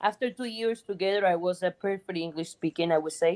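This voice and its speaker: A woman speaks with a Cuban accent at a fairly quick pace. Her pitch is medium, with ordinary variation. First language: Spanish. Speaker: guest, friend of host. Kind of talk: interview.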